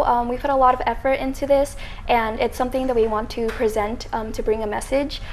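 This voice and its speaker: Her pitch is high, and her pace very fast. The woman is heard over light background noise. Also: hardly any pauses. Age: 20s. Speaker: student organizer; guest. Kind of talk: interview. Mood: earnest, slightly nervous. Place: studio. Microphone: lapel.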